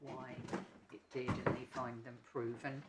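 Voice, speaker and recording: A man speaks in an English accent at a medium pitch. His intonation stays monotone and flat. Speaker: barrister. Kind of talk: legal argument in court. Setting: courtroom. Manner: soft-spoken, not projecting; hesitant, many ums.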